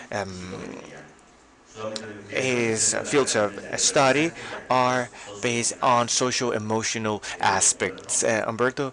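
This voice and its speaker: Over noticeable background noise, a man at a medium pitch talks at a very slow pace with fairly even intonation and long, frequent pauses. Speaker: event moderator. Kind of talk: formal event moderation. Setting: stage event with live audience and online stream. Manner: hesitant, many fillers.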